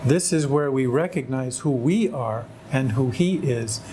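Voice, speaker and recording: In an American accent, a man talks at medium pitch and a moderate pace. Music plays in the background, and audible room echo is present. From California, US. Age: 60s. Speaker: convert to Islam. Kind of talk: testimony. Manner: halting.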